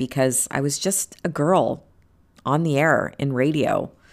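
A woman speaks in an animated tone. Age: 40s. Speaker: podcast host. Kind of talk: motivational monologue.

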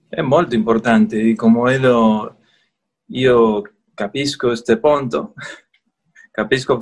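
A man with a Spanish accent speaks at a very slow pace, leaving long, frequent pauses. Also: medium pitch for a man, ordinary pitch variation. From Argentina. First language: Spanish (speaking Italian). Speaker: merchant. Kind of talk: online interview. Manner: halting, hesitant.

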